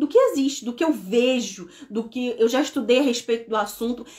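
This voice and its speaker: Very fast and high-pitched, a woman speaks with lively intonation. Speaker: neuropsychopedagogue. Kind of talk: live stream talk. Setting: live stream.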